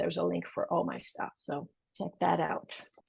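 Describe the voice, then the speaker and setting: A woman speaks in a Portuguese accent. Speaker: portrait photographer. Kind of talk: interview podcast. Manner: halting.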